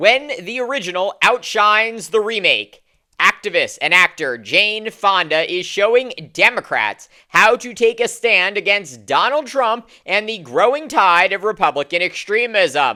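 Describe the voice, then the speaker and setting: A woman talks at a fairly slow pace in a medium pitch, with vocal fry. Her tone is bright and sharp, and her intonation is lively. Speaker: political commentator. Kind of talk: political commentary to camera.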